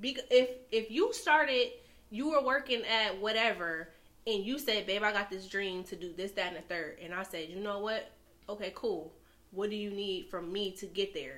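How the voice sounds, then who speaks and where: A woman with an American accent has a normal speaking voice, moving at a moderate pace with lively intonation and big swings in loudness. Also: medium pitch for a woman. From New York. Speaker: podcast guest. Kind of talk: casual chat.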